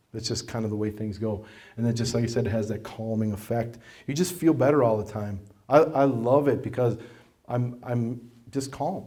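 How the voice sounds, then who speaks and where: In a dark, mellow tone at medium pitch, a man talks at a moderate pace with ordinary pitch variation while audible room echo fills the space. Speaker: martial arts instructor and school owner. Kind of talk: presentation to an audience. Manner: loud; conversational, with many fillers.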